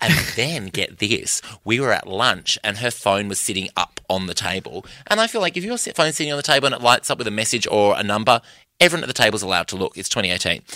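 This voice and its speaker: A man with an Australian accent, bright and sharp in tone, at a very fast pace with lively intonation, dry and close with no echo on a very clean recording against a silent background. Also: medium pitch for a man. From Perth, Western Australia. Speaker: comedian. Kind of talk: casual chat.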